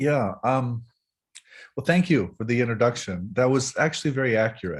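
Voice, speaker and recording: His voice comes across as somewhat breathy. The man's intonation is lively. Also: medium pitch for a man, moderate pace. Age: 50s. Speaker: professor of religion. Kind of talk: interview.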